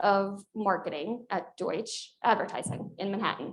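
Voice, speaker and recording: A woman speaks with a Long Island accent. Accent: Long Island New York. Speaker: corporate executive, alumna panelist. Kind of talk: panel discussion.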